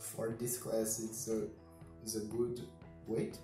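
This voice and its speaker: A man's voice comes with audible room echo and light background noise. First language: not English. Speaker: combat robot builder. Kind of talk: casual talk to camera. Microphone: camera far.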